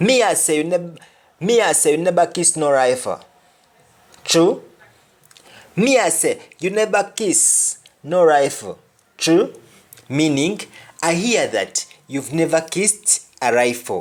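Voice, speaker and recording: Long, frequent pauses break up the speech. The pace is fairly slow. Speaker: language teacher. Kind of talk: language lesson.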